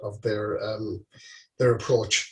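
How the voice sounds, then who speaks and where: A man speaks with an Irish accent. His voice is somewhat breathy. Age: 60s. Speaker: charity walker. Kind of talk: interview. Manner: halting.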